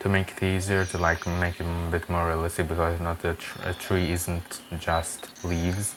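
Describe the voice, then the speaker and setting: The speaker has a non-native accent. Noticeable background noise runs underneath. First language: not English. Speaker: Minecraft builder and tutorial creator. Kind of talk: tutorial. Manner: casual, halting with fillers. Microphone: poor quality mic.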